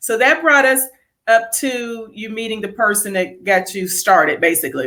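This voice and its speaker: Her voice is fairly high, with a bright, sharp, animated tone. This woman keeps a moderate pace and lively intonation. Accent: American. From Ohio. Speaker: interview show host. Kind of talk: casual interview livestream. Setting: online livestream.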